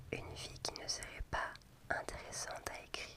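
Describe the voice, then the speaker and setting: Through noticeable background noise, a whisper unfolds at a very slow pace. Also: woman. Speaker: ASMR creator. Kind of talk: whispered book reading for sleep. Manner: whispered.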